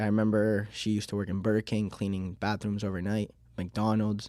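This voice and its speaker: This man has a Miami accent and a fairly low pitch with a dark, mellow tone. He speaks in a flat monotone on a very clean recording with a silent background. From Miami, Florida, born in Uruguay. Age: 20s. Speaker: small business owner. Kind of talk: podcast interview. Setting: studio. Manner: hesitant, frequent um fillers.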